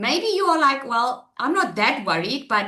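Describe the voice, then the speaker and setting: With an animated tone and lively intonation, a woman speaks at a fairly quick pace. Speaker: online marketing trainer. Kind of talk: webinar presentation. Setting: webinar. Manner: loud.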